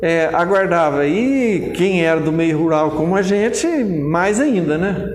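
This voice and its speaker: Speaking at a very slow pace with hardly any pauses, a man uses a high pitch, ordinary pitch variation and very even loudness, amid noticeable background noise and audible room echo. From Andradas, Minas Gerais, Brazil. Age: 70s. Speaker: grape and wine producer. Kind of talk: interview.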